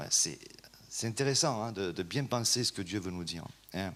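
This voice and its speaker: A man is speaking. His intonation is lively. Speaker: preacher. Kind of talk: sermon. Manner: hesitant, many fillers.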